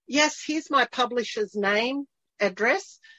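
In an Australian accent, a woman speaks at a moderate pace. Her pitch varies in an ordinary way. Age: 60s. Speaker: podcast host. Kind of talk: casual interview. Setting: video call.

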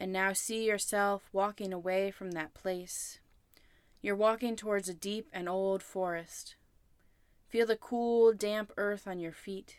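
Speaking at a fairly slow pace, a woman uses a medium pitch and fairly even intonation in a plain, everyday voice. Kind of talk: guided meditation. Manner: slow, calm, soothing, with long pauses.

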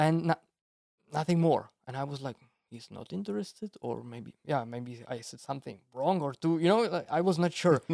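A man with a Czech accent talks at a moderate pace in a fairly high pitch, with a dark, mellow tone and lively intonation. His loudness swings widely, and the sound is dry and close with no echo. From Czech Republic, village. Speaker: bonsai artist. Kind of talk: casual chat.

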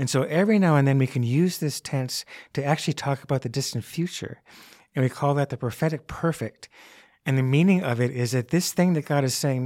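At a fairly quick pace, a man speaks in a normal speaking voice with a fairly high pitch and ordinary pitch variation. The very clean recording has a silent background and a dry, close sound with no echo. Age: 60s. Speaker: Bible teacher, college professor. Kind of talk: interview about scripture. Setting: studio, across the table.

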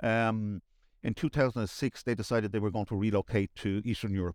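A man's fairly low voice at a fairly quick pace, ordinary pitch variation, dry and close with no echo. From Dublin, Ireland. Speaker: managing director. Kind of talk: casual interview chat.

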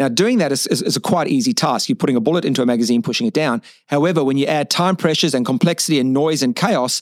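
Delivered at a very fast pace with lively intonation, the speech sounds dry and close with no echo on a very clean recording with a silent background. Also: man. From South Africa. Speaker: physiotherapist and stress researcher. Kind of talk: interview.

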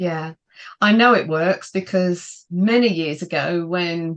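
In a British accent, a woman speaks at a fairly slow pace with a fairly low pitch. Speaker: podcast host. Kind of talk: interview, business podcast chat. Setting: video call.

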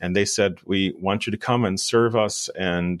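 At a fairly slow pace, a man talks in a fairly low pitch on a very clean recording with a silent background. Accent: American. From US Midwest, rural southwest Wisconsin. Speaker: professor of religious studies. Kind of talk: interview on church history.

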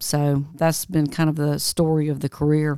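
In a Southern US accent, a woman speaks at a very deep, low pitch with monotone, flat intonation and a moderate pace, on a very clean recording with a silent background. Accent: Southern US (Georgia). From US South, LaGrange, Georgia. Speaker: tech entrepreneur and bereaved mother. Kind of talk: interview, personal story.

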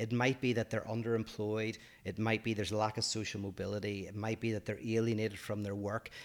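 Talking at a very fast pace with a Northern Irish accent, a man uses a fairly low, flat, monotone delivery. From Northern Ireland. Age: 40s. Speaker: podcast co-host, philosopher. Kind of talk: casual chat.

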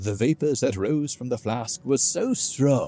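Someone reads aloud in a natural voice.

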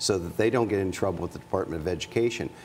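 A man with a fairly low pitch and fairly even intonation talks in a plain, everyday voice. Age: 50s. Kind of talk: casual interview.

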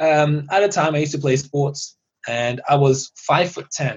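A somewhat breathy man talks at a moderate pace. His pitch sits fairly high for a man. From Iran (Tehran), raised in UK. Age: young. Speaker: dentist. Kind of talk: casual interview chat. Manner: animated.

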